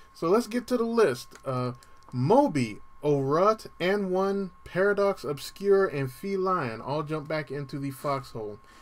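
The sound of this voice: A man speaks at a fairly slow pace, his pitch fairly high and his intonation lively.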